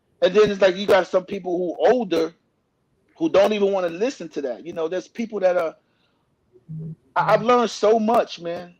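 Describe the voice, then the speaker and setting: A man talks at a fairly quick pace in a high voice with ordinary pitch variation. Long, frequent pauses break up his speech. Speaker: author and former R&B singer. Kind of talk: in-depth interview. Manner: halting, repeats words.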